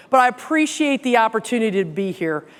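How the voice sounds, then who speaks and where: A woman with a Southern US accent, high in pitch, with very wide pitch swings. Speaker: company president and CEO giving keynote. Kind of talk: keynote speech. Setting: stage with audience. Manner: conversational, folksy.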